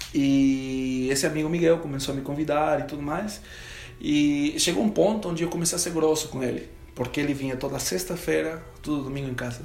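Someone speaks at a moderate pace with a Spanish accent. Audible room echo and noticeable background noise are present. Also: man. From Peru. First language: Spanish (speaking Portuguese). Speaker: professional guitarist. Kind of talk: testimony.

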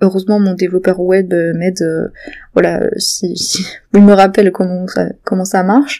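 A woman keeps her pace moderate and her intonation fairly even. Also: medium pitch for a woman. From southwestern France, Béarn. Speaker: novelist and podcaster. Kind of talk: casual solo monologue. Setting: home. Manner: hesitant, many fillers.

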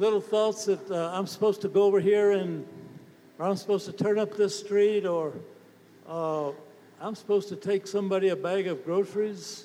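A man with a high voice speaks at a fairly slow pace in a monotone, flat intonation over noticeable background noise. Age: 80s+. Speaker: preacher. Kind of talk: sermon.

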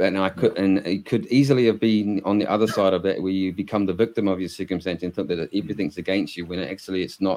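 A man with a New Zealand accent and a very deep, low, dark, mellow voice talks very fast with hardly any pauses and fairly even intonation against a quiet background. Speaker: podcast host. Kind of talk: interview conversation.

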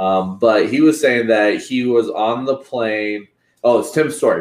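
A man's normal speaking voice, moderate in pace, with ordinary pitch variation. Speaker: podcast co-host. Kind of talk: casual podcast interview.

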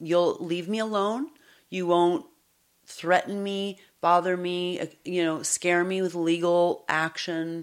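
A woman's fairly low, a plain, everyday voice, at a fairly slow pace. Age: 50s. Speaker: psychologist and podcast host. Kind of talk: personal testimony in interview. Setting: away from her usual studio.

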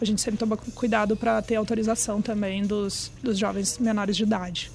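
A woman's somewhat breathy voice sits at a fairly high pitch with monotone, flat intonation. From Brazil. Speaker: trend research executive. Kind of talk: casual interview. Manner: hesitant, many fillers.

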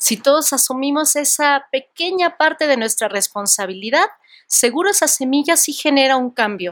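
A high-pitched woman's voice with lively intonation at a fairly slow pace, in a dry, close sound with no echo. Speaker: educator. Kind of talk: casual chat.

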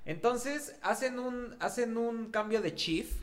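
Speaking at a very slow pace, the man has a high-pitched voice. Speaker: podcast co-host. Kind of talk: casual chat.

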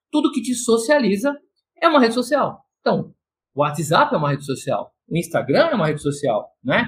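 The speaker is a man with an extremely high pitch. His voice swings very widely in pitch. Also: moderate pace. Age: 50s. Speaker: consultant and coach. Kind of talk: podcast interview, explanatory talk.

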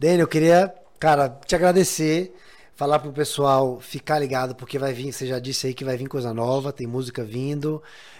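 A man speaks with a fairly high pitch in a normal speaking voice. The recording is very clean, with a silent background. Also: fairly even intonation, moderate pace. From Bahia, Brazil. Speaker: podcast host. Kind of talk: casual interview.

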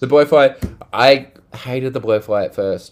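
Here is a man with an Australian accent. His pitch shows ordinary variation. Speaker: podcast host. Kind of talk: casual chat.

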